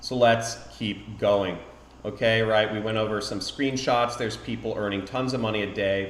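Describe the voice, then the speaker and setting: Audible room echo surrounds a man who speaks at a moderate pace with a fairly low pitch and fairly even intonation. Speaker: affiliate marketing YouTuber. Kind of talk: live-streamed tutorial. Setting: home live stream.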